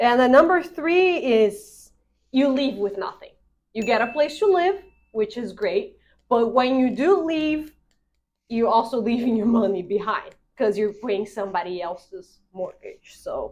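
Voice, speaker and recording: A woman with a non-native accent speaks at a fairly slow pace in a high pitch, her voice making very wide pitch swings. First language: not English. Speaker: real estate agent. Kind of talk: casual explainer video.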